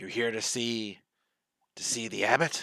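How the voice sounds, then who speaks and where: A man puts on a gruff, raspy character voice. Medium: actual play. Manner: halting, broken speech.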